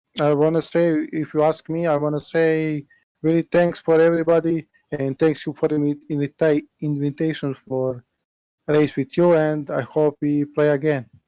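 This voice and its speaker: In a dry, close sound with no echo, a man with a non-native accent speaks at a fairly high pitch with a dark, mellow tone and monotone, flat intonation. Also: moderate pace. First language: not English. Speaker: sim racing driver. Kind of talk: post-race interview. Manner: halting, broken English.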